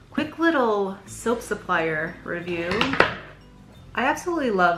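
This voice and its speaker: A woman talks with music in the background and audible room echo. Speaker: small business owner making soap and bath bombs. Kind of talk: casual unboxing vlog. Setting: at home, living room. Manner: fast.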